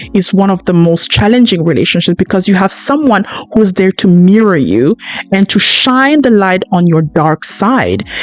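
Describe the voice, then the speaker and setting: A woman at a medium pitch, animated in tone with lively intonation and a moderate pace, her sound dry and close with no echo, music in the background. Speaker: podcast host. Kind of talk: podcast monologue. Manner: loud.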